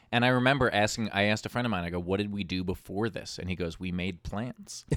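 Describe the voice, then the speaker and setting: A man with an American accent, an unremarkable speaking voice, fairly low pitch, ordinary pitch variation and a fairly quick pace. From New York (Queens). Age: 30s. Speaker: comedian and TV host. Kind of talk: casual chat.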